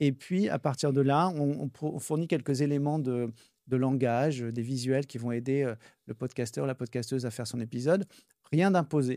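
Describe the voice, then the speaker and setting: In a Parisian accent, a man with a dark, mellow tone and medium pitch speaks at a moderate pace with ordinary pitch variation, on a very clean recording with a silent background. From Paris, France. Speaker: charity event co-founder and entrepreneur. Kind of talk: casual interview.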